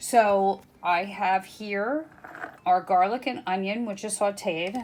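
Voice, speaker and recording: Very slowly, a woman speaks at a medium pitch. Her pitch varies in an ordinary way. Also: very clean recording, silent background. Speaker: home cook video host. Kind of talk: cooking tutorial. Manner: casual, many filler ums.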